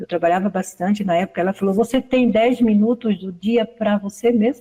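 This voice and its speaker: A woman speaks at a moderate pace in a dark, mellow tone, her medium pitch somewhat breathy and her intonation fairly even. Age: 60s. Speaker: study group participant. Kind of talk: testimony.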